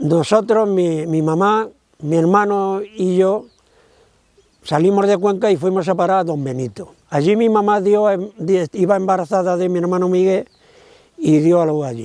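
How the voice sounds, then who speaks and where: At a fairly slow pace, the voice moves with ordinary pitch variation. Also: man, high pitch for a man. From Andalusia, Córdoba province (rural village). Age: 80s+. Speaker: interviewee, son of a Nazi camp deportee. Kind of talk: testimony. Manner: halting.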